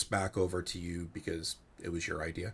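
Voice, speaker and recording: This is a man speaking. He has a New Jersey accent. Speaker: panel moderator. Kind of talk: webinar panel discussion.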